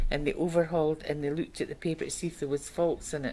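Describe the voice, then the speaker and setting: Over light background noise, a woman with a very deep, low pitch speaks at a very fast pace. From Scotland. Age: 70s. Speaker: retired paper mill worker, oral history interviewee. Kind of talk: oral history interview answer. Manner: conversational, reminiscing. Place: meeting room.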